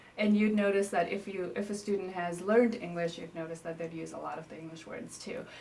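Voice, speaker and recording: A woman at medium pitch talks very fast with hardly any pauses, big swings in loudness and ordinary pitch variation. Noticeable background noise and audible room echo are present. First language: Newari. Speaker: interviewee, native speaker. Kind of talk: interview. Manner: casual, hesitant with fillers.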